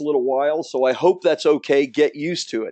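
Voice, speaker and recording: Fairly high-pitched man with a dark, mellow tone against a quiet background. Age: 50s. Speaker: book publishing coach. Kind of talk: webinar sales presentation. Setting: webinar from his office. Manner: fast; energetic.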